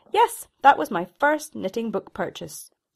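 Pitched fairly high, a woman's voice shows vocal fry and very wide pitch swings at a moderate pace. The recording is very clean, with a silent background. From Scotland, Shetland Islands. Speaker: knitwear designer. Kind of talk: reading aloud a personal essay.

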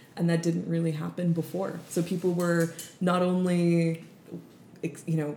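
Moderately paced speech, somewhat breathy and dark and mellow in tone. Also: woman. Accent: Canadian. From Canada, East Indian family. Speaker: restaurant owner. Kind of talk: casual chat. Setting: recorded in an apartment.

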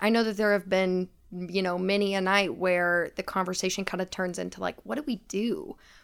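A woman with an American accent talks at a moderate pace and medium pitch, barely pausing, in an ordinary speaking voice. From US South, Knoxville, Tennessee. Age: 20s. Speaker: administrative assistant and social work student. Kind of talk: casual chat. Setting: studio.

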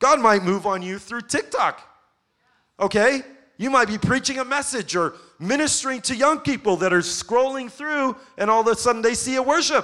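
An extremely high-pitched man's raised, projected voice, bright and sharp, animated in tone, with ordinary pitch variation at a moderate pace. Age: 40s. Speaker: pastor. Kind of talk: sermon.

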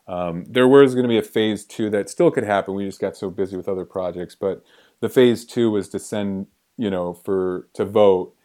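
Recorded very cleanly against a silent background, a man with an American accent speaks at a moderate pace in a dark, mellow tone of fairly low pitch. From Detroit, US Midwest. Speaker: entertainment producer. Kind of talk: interview. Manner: halting.

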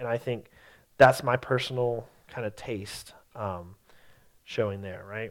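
Pausing long and often, a man talks at a fairly slow pace and medium pitch with fairly even intonation, recorded very cleanly against a silent background. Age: 30s. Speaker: teacher and theater artist. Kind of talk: lecture. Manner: halting, many fillers.

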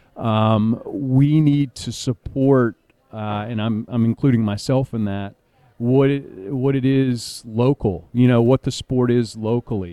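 Delivered with fairly even intonation, the words come at a fairly slow pace. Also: man, medium pitch for a man. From US South, Raleigh, North Carolina. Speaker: soccer club president and general manager. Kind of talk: casual interview. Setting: event venue.

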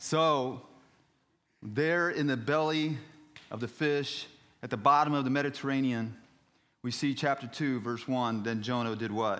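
Against audible room echo, a man speaks at a fairly slow pace with long, frequent pauses. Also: medium pitch for a man, ordinary pitch variation. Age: 50s. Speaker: missionary preacher. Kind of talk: sermon.

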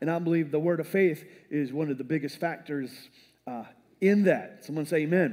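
A man's animated tone at a fairly quick pace, with fairly high pitch, ordinary pitch variation and long, frequent pauses. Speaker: preacher. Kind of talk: sermon. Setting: church with congregation. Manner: animated, call-and-response, folksy and rallying; repeats key phrases for emphasis, punchy and declarative.

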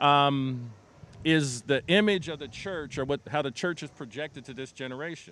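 A man speaks at a moderate pace in an unremarkable speaking voice, his intonation lively. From US. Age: 60s. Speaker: nonprofit CEO. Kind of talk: interview in front of a church congregation.

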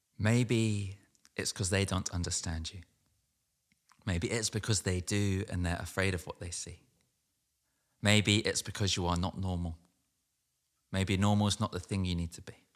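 A man with a very deep, low pitch and a London accent talks at a moderate pace, with fairly even intonation. He leaves long, frequent pauses, and the recording is very clean with a silent background. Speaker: poet. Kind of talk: poetry reading; casual talk about the poem.

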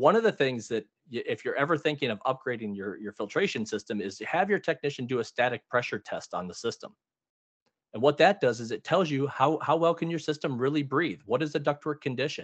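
Against a quiet background, a man talks at a fairly quick pace in a fairly high pitch with lively intonation. It is a normal speaking voice, with a dry, close sound and no echo. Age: 40s. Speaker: heating, cooling and plumbing business owner. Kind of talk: casual interview.

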